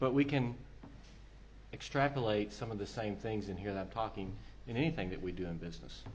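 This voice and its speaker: With an American accent, a man speaks at a fairly low pitch with vocal fry, ordinary pitch variation and long, frequent pauses, and audible room echo surrounds him. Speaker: telecom consultant, conference speaker. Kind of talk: conference presentation.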